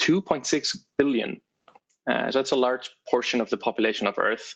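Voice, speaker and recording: This man speaks with an Icelandic accent. His pitch sits in the medium range. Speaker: developer advocate. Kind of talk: tech talk presentation. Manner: many filler words and restarts.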